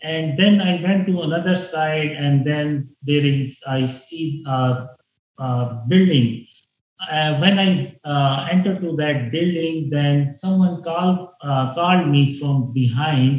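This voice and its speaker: Amid audible room echo, a man speaks very slowly in a somewhat breathy, fairly high voice. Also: ordinary pitch variation. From Pakistan. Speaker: religious dream claimant; interviewee. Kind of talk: interview. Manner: halting. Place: home room. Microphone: earbuds.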